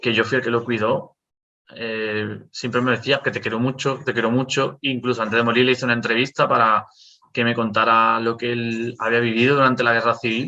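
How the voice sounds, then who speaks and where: A man speaks in a flat monotone at medium pitch and a fairly quick pace. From Canary Islands, Las Palmas. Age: 30s. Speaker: history content creator. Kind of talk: casual chat. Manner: halting.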